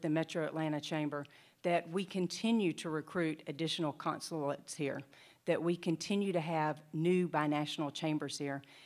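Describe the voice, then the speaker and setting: A woman's fairly low voice in a Southern US accent, with fairly even intonation at a moderate pace, on a very clean recording with a silent background. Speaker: state economic development official. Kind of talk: conference presentation.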